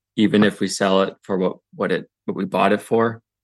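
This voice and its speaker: Against a quiet background, a man uses a normal speaking voice at a fairly quick pace, with a fairly low pitch and fairly even intonation. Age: 30s. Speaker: podcast guest discussing couple's finances. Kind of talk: casual interview conversation.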